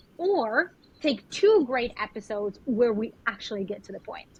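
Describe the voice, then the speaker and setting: Speaking with a Spanish accent, a woman uses a fairly high pitch. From Colombia. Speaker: spiritual mentor and yoga teacher. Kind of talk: podcast interview.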